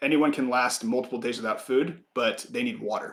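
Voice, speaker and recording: A man puts on a raspy character voice at a medium pitch, talking at a fairly quick pace. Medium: actual play. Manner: calm, practical.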